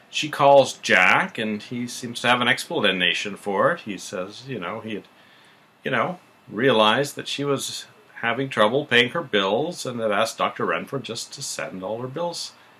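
The man's tone is bright and sharp, with lively intonation at a moderate pace. His loudness swings widely. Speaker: show recap host. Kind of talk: casual recap commentary. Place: home room. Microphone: webcam.

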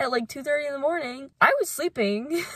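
Against a quiet background, a woman's bright, sharp tone comes through in a dry recording with no echo. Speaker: travel vlogger. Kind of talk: casual vlog chat. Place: car. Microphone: phone near.

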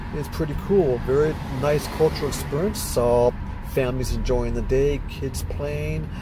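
A man talks over noticeable background noise, in a dry recording with no echo. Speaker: traveler vlogger. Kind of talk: casual vlog chat. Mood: enthusiastic, reflective. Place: car. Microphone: phone near.

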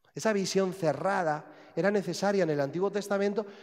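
A man speaks at a moderate pace over a quiet background. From Spain. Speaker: priest. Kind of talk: sermon. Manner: halting. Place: church.

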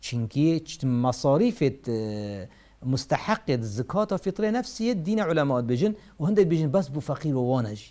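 A man with a Kurdish accent talks fairly slowly in a dark, mellow tone, his fairly high pitch swinging very widely. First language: Kurdish (speaking Arabic). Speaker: Islamic scholar answering religious questions. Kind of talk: religious Q&A lecture. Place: studio. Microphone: lapel.

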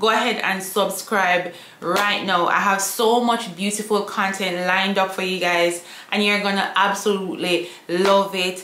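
With strong room echo around her, a woman speaks fairly slowly with few pauses, fairly even intonation, medium pitch and a fairly bright tone.

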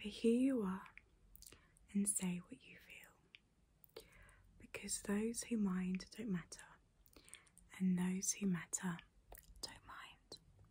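Very slow speech with long, frequent pauses, fairly even intonation, a somewhat breathy quality and a dark, mellow tone. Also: woman. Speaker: video creator. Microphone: phone near.

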